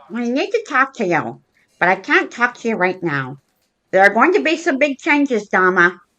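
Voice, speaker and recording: Over a quiet background, a woman uses a cartoonish character voice at a fairly high pitch, moving at a moderate pace with very wide pitch swings. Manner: curt, hurried.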